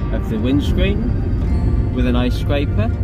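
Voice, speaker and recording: A man's speech crawls along very slowly, with loud noise in the background. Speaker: car enthusiast. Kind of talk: casual car walkaround video. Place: car. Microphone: phone near.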